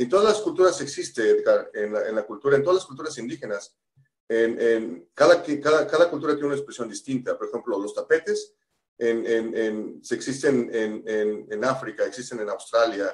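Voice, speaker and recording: The speaker is a man with a Mexican accent. He keeps a moderate pace. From Mexico. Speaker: pastor. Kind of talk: casual chat. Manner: halting, many repetitions.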